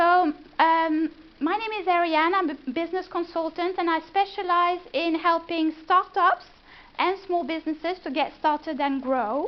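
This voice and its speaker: At a moderate pace, a woman talks at an extremely high pitch. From France. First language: French. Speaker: business consultant. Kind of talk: presentation. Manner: hesitant, many fillers.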